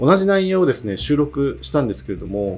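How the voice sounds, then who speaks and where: A man speaks at a fairly quick pace. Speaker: podcast host. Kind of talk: solo monologue. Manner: halting.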